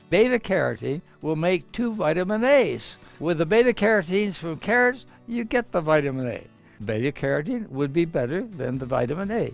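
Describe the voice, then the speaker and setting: A man speaks at a fairly quick pace in a high voice, his pitch swinging very widely, with music in the background. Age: 80s+. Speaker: physician and nutrition professor. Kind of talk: interview answer.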